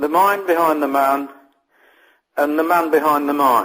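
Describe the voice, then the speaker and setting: At a very slow pace, a man with an English accent speaks in a fairly high pitch. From England. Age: old. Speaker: copywriter and interviewer. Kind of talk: interview. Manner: halting, with frequent fillers.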